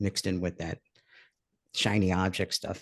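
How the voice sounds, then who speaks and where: With a New York accent, a man talks at a fairly quick pace. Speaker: online course creator. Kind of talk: live webinar.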